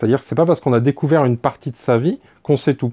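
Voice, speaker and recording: A man's medium-pitched voice carries ordinary pitch variation. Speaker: board game youtuber. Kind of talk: video review monologue. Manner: hesitant, many filler words.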